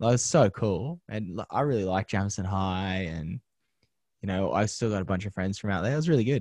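A man with an Australian accent talks at a fairly quick pace in a fairly low pitch with ordinary pitch variation, the sound dry and close with no echo and the background quiet. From Australia, western Sydney (Penrith). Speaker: TV presenter and media producer. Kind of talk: interview. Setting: podcast interview.

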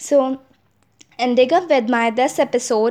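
This woman talks at a moderate pace with an Indian accent. Her pitch is high. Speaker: podcast host. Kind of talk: solo podcast monologue. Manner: halting.

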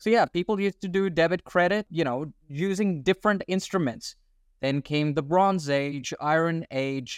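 A man with an American accent speaks at a moderate pace and a high pitch, in a dry, close sound with no echo. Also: ordinary pitch variation. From Australia. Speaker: crypto investor and podcast co-host. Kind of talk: casual interview chat. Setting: video call.

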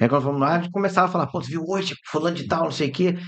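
Here a man talks with ordinary pitch variation. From Rio de Janeiro, Brazil. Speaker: radio host and journalist. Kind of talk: casual chat. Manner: animated.

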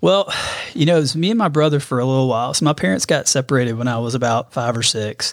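Someone talks at a very fast pace with an Alabama accent. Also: man, medium pitch for a man. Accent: US Southern (Alabama). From Alabama, Birmingham. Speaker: amateur runner, father of three. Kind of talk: casual chat.

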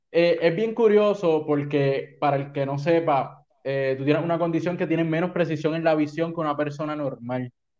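A man's ordinary speaking voice, fairly high, at a moderate pace with hardly any pauses and fairly even intonation. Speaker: podcast host and sports broadcaster. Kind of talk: casual interview chat.

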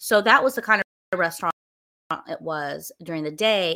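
A woman with a Southern US accent and a fairly low pitch, bright and sharp in tone, with ordinary pitch variation, on a very clean recording with a silent background. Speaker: wine collection manager and podcaster. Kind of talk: casual solo talk to a livestream audience. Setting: live stream with camera, at home. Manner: rambling, casual, many filler words.

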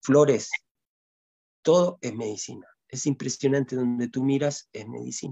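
Fairly even in intonation, the delivery proceeds fairly slowly. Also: man. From Chile, long years in Ecuador. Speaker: healer and shamanic music maker. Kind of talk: casual interview. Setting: video call. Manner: halting, with many repeated words.

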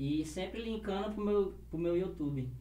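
Audible room echo surrounds this man's voice. He speaks at a moderate pace. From Acre, Brazil. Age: 20s. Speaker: rapper and YouTuber. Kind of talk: casual chat. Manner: animated.

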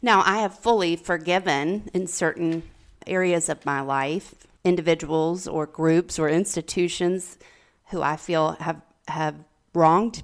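Speaking at a very slow pace, a woman with a fairly low pitch uses ordinary pitch variation. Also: very clean recording, silent background. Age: 40s. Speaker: podcast co-host, recovery coach. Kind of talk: casual chat.

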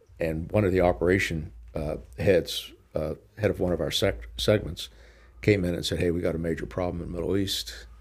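A voice with an American accent, ordinary pitch variation, and a creaky vocal fry. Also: man, very deep, low pitch for a man, moderate pace. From Pittsburgh, Pennsylvania. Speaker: retired company chairman, business executive. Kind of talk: interview.

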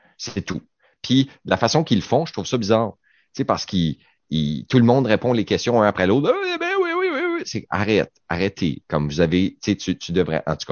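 Using lively intonation, a man talks at a moderate pace with long, frequent pauses. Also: fairly low pitch for a man. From Quebec, Saguenay-Lac-Saint-Jean. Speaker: radio panelist. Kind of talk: casual chat.

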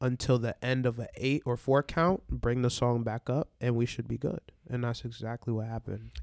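In a normal speaking voice with an American accent, a man of medium pitch talks at a moderate pace with fairly even intonation, the sound dry and close with no echo. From New York, Barbadian family. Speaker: DJ. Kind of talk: casual chat.

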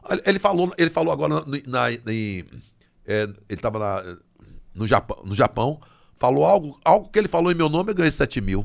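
A man with a fairly high pitch and vocal fry talks at a moderate pace. His pitch swings very widely, with long, frequent pauses. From Brazil, Bahia (Salvador). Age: 60s. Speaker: comedian. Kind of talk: casual chat.

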